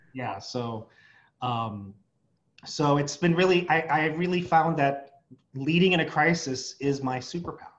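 At a fairly slow pace, a man with an American accent and an unremarkable speaking voice talks at a fairly high pitch with ordinary pitch variation. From San Diego, California. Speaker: association executive director, psychologist. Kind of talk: interview.

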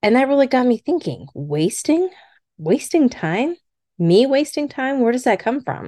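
A woman's high-pitched, dark and mellow voice at a fairly slow pace, with very wide pitch swings and a dry, close sound with no echo over a quiet background. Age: middle-aged. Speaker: podcast host. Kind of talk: solo personal podcast monologue.

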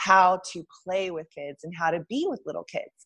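A woman speaks with an American accent at a moderate pace. It is a normal speaking voice. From Texas (Lubbock). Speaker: photographer. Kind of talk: casual interview.

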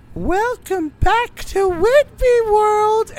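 This put-on character voice is squeaky. Its pitch is extremely high. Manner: menacing, greeting.

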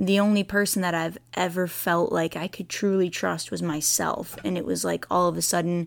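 A woman with an unremarkable speaking voice and a fairly low pitch is heard in a very clean recording with a silent background. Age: 20s. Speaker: podcast host, personal trainer. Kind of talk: personal storytelling monologue. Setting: home recording.

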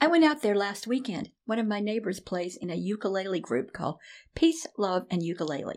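Speaking fairly quickly in an American accent, a woman lets her pitch swing very widely. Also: medium pitch for a woman. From US South, Nashville, Tennessee. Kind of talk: interview.

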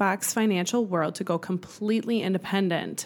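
In a very clean recording with a silent background, a woman with an American accent speaks in a medium pitch with ordinary pitch variation. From Wisconsin. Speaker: podcast co-host, loan originator. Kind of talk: reading a guest bio; casual chat.

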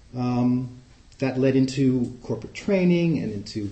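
A man with an American accent has a plain, everyday voice with ordinary pitch variation. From New York City, Queens. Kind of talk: talk to a group with discussion. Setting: live in-person group meeting.

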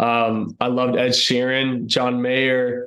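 A man at medium pitch with a Texan accent and monotone, flat intonation. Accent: Texan American. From Texas, North Austin. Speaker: country singer. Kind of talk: casual interview.

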